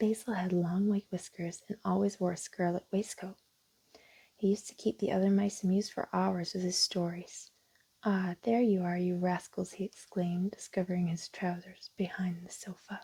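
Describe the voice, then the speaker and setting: A woman speaks softly at a medium pitch and a moderate pace, somewhat breathy. Her tone is calm, with monotone, flat intonation. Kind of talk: children's storybook narration. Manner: soft-spoken, calm.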